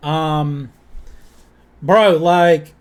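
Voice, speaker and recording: A man talks in a Southern US accent at a high pitch. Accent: southern twang. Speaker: music reaction youtuber. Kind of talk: casual commentary.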